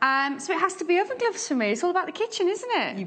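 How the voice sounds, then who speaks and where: Amid noticeable background noise, a woman speaks at an extremely high pitch with very wide pitch swings. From West Midlands, England.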